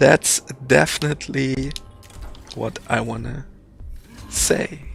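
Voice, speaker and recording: A man speaks with a German accent at a very slow pace. Music plays in the background. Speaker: game publisher staff and streamer. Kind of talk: casual chat. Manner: halting.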